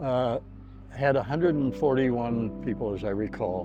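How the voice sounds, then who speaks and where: Music plays behind a man speaking at a moderate pace. His pitch is medium, with ordinary variation. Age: 80s+. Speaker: war veteran. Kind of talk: testimony. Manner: halting.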